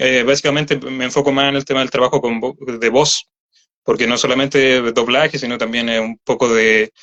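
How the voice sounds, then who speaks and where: A fairly quick pace with a bright, sharp tone, monotone, flat intonation and a dry, close sound with no echo. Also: man, medium pitch for a man. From Chile, Santiago metropolitan region. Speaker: voice actor. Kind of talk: interview. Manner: halting.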